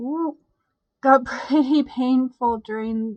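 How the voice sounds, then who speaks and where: A woman speaks quietly in a tired tone. Her pitch varies in an ordinary way. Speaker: YouTube host reading positive stories. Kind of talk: casual talk to camera. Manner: quiet, tired, congested.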